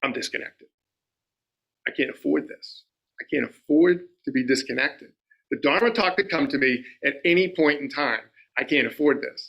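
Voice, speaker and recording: Speaking at a moderate pace with long, frequent pauses, a man with an American accent has a bright, sharp tone, a fairly high pitch for a man and ordinary pitch variation. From Rhode Island, US. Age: 60s. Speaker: lay Buddhist dharma speaker. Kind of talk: dharma talk. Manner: conversational, repetitive fillers.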